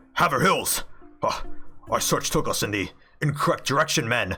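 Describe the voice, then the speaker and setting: Someone performs a put-on character voice over faint music in the background. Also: man, fairly high pitch for a man, moderate pace. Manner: amazed, exclaiming.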